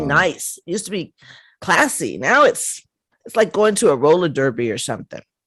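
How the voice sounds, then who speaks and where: Using vocal fry, a woman at medium pitch speaks at a moderate pace with very wide pitch swings. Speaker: podcast host. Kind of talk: casual conversation.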